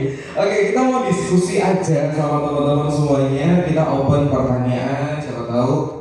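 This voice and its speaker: A man with a fairly high pitch talks in a room with audible echo and noticeable background noise. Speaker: radio journalist and program director. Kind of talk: panel talk to workshop participants. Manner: casual.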